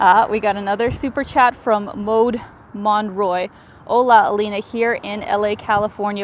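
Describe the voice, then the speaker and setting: Fairly high in pitch, a woman speaks with a Canadian accent. She keeps a moderate pace. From Canada. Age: 30s. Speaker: travel vlogger. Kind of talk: live stream chat. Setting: outdoors walking city streets. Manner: animated.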